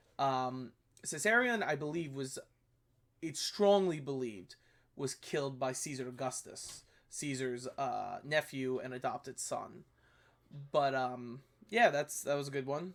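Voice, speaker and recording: Speaking at a fairly slow pace with long, frequent pauses, a man's voice sits fairly high in pitch. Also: ordinary pitch variation. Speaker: history YouTuber reviewing videos. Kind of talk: casual commentary review. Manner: hesitant, many fillers.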